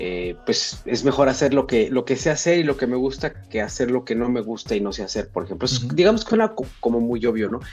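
Music plays behind a man speaking at a fairly quick pace with hardly any pauses. His pitch is medium, with ordinary variation. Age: 40s. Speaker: professor and researcher. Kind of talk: casual chat.

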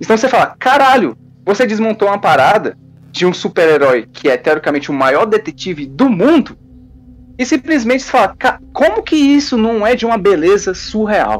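Music plays in the background as a man talks. His voice is high-pitched, with very wide pitch swings. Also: moderate pace. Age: 20s. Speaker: fan site columnist. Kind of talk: casual chat.

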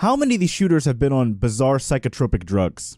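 A man with an ordinary speaking voice talks at a fairly quick pace and a medium pitch, with lively intonation, in a very clean recording with a silent background. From Texas. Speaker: podcast panelist. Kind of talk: casual debate. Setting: studio.

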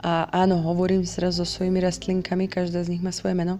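A woman speaks in a dark, mellow tone at a fairly low pitch. Her intonation stays flat and monotone. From Slovakia. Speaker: podcaster. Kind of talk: personal monologue. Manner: hesitant, many fillers.

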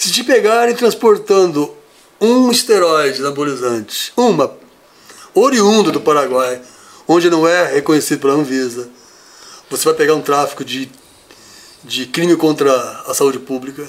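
A voice at a moderate pace, broken by long, frequent pauses, with very wide pitch swings. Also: man, fairly high pitch for a man. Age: 50s. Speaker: bodybuilder. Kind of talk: interview. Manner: halting.

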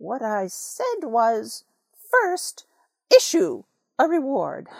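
A put-on character voice, female-sounding and high-pitched, delivers a pompous tone at a very slow pace. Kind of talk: storybook read-aloud, character voice. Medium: read story. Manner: pompous, lecturing; prim, mildly offended.

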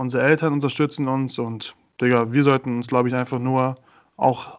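At a moderate pace, a man at medium pitch speaks with monotone, flat intonation. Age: 20s. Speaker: podcast co-host. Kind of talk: casual chat.

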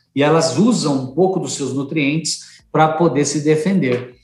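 This man's voice sits at a fairly high pitch and sounds somewhat breathy. He speaks at a fairly slow pace. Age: 50s. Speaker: organic food company executive. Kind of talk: interview.

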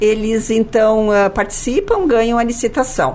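A woman of medium pitch speaks at a fairly slow pace against noticeable background noise. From Caxias do Sul, Rio Grande do Sul, Brazil. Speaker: city government official. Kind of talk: radio interview. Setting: studio.

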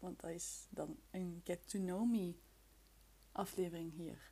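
This woman has a Flemish accent and a fairly low, somewhat breathy voice. Her tone is dark and mellow, with ordinary pitch variation. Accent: Flemish Dutch. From Flemish Brabant, Belgium (near Leuven). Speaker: podcast host. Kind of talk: casual solo chat. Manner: chaotic, halting.

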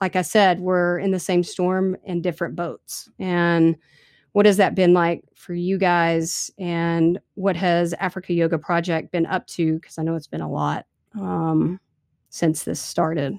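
A woman speaks at a fairly slow pace with an American accent, her fairly low voice monotone and flat, recorded dry and close with no echo. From US small town. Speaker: podcast host. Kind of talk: casual interview. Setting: remote call.

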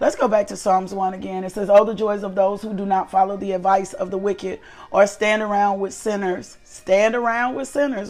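Music plays in the background as a woman speaks. Her pace is moderate and her intonation fairly even. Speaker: devotional host and minister. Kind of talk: devotional teaching and prayer. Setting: live online broadcast. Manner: fervent, repetitive praise.

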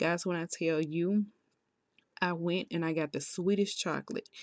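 A woman has an unremarkable speaking voice, a fairly low pitch and fairly even intonation. The recording is very clean with a silent background and a dry, close sound with no echo. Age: 30s. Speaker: solo podcaster. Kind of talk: personal testimony. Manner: casual, conversational.

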